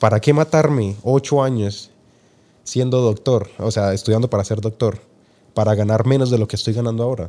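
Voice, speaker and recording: A man's dark, mellow voice at medium pitch with ordinary pitch variation and a fairly quick pace, on a very clean recording with a silent background. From Colombia, Tocancipá near Bogotá. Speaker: entrepreneur. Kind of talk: interview.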